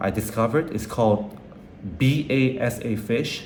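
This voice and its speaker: There is audible room echo around this man's voice. His pitch is medium and his intonation fairly even. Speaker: vlogger and restaurant owner. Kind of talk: personal video journal. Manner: halting, repetitive; casual.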